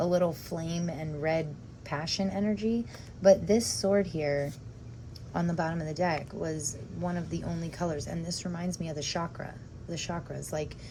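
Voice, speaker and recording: Fairly low in pitch, a woman talks at a moderate pace with ordinary pitch variation, vocal fry and a dark, mellow tone. The room echo is audible. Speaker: tarot reader. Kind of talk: tarot reading video. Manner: halting, stumbling over words; casual, chatty.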